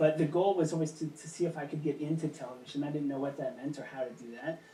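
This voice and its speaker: In an American accent, a somewhat breathy man with a fairly high pitch and a dark, mellow tone speaks at a very fast pace with fairly even intonation. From Kansas. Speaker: puppeteer. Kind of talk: interview.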